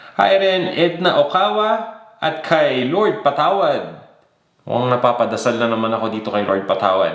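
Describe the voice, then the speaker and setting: A man talks at a fairly slow pace in a space with audible room echo. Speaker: cooking show host. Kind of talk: live chat greetings to viewers. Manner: casual.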